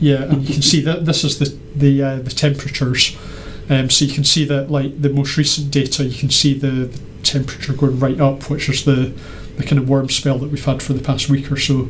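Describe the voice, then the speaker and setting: Over noticeable background noise and audible room echo, a man with a fairly high pitch talks at a fairly quick pace in a monotone, flat intonation. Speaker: maker presenting weather-data project. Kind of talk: casual show-and-tell chat. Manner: halting, many fillers.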